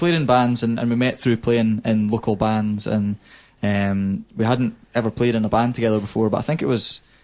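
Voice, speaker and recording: With a Scottish accent, a man speaks at a medium pitch. His loudness stays very even over a quiet background. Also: fairly even intonation, moderate pace. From Scotland. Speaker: hip-hop artist. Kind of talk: casual chat. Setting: studio. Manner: halting.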